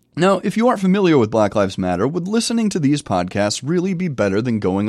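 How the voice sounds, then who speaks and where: Speaking very fast in an American accent, a man makes very wide pitch swings. The recording is very clean with a silent background. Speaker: podcast host and writing professor. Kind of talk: solo review monologue.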